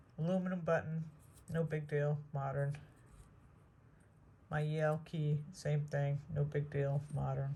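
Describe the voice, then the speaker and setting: A woman with a very deep, low pitch and a somewhat breathy voice speaks at a fairly slow pace, with long, frequent pauses. Her intonation is monotone and flat, and audible room echo surrounds her. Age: 60s. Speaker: metal detecting vlogger. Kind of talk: casual outdoor vlog narration. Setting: outdoors in the woods.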